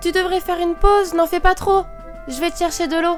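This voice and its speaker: Over clear music in the background, a put-on character voice that sounds female goes at a fairly quick pace in an extremely high pitch. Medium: audio drama. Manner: upbeat, encouraging.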